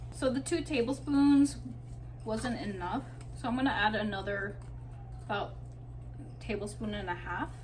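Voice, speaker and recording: Long, frequent pauses at a moderate pace, with audible room echo and noticeable background noise. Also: woman. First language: not English. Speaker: home cook. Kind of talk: cooking tutorial. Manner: casual.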